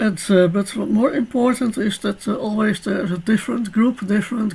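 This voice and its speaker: Against noticeable background noise, a woman speaks at a moderate pace with medium pitch and ordinary pitch variation. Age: 60s. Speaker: biologist and tour operator. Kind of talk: lecture.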